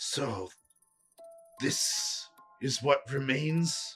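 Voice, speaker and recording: Against faint music in the background, a man does a raspy, breathy put-on character voice at a fairly high pitch. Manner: stretched, weary.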